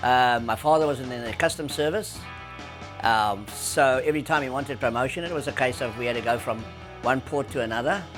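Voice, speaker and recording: Over music in the background, a man with a South African accent speaks at a fairly quick pace, medium pitch and ordinary pitch variation. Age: 80s+. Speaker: surf industry veteran. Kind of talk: interview answer.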